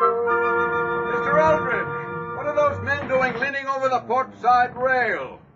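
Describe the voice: Putting on a character voice at an extremely high pitch, a man speaks slowly in a bright, sharp tone with ordinary pitch variation while faint music plays in the background.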